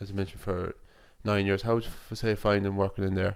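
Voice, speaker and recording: On a very clean recording with a silent background, a man speaks in a flat monotone. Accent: western Irish. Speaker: student radio reporter. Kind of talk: radio feature interview. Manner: halting, many fillers.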